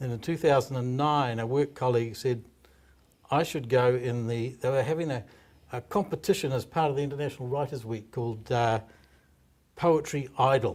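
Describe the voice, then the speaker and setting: In a New Zealand accent, a man speaks at a moderate pace and a medium pitch with ordinary pitch variation. The recording is very clean with a silent background. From New Zealand, Hawke's Bay. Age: 60s. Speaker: stand-up comedian. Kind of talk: interview.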